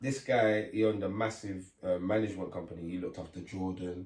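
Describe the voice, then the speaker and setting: A man with a very deep, low voice talks very fast, somewhat breathy, with ordinary pitch variation. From Leeds, Chapeltown, northern England. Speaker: grime MC. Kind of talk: casual interview chat. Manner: animated storytelling.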